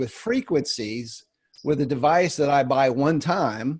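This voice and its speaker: Against a quiet background, a man with an unremarkable speaking voice talks at a fairly high pitch. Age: 50s. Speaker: wellness product distributor. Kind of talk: webinar discussion.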